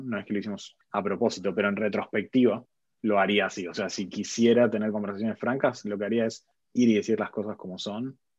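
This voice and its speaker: Very fast and with fairly even intonation, a man speaks at a fairly low pitch in an Argentine accent against a quiet background. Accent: Argentine Spanish (Rioplatense). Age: 30s. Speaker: tech executive. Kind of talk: interview.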